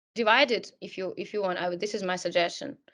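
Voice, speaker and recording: Against a quiet background, a woman with a Russian accent speaks in a bright, sharp tone with fairly even intonation. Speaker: career coach. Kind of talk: webinar talk.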